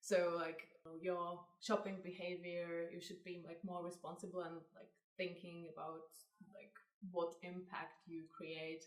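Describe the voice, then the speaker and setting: In a Czech accent, a woman with a fairly low pitch speaks in a flat monotone, her loudness swinging widely amid audible room echo. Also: fairly slow pace. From Czech Republic. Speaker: fashion brand co-founder. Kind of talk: interview.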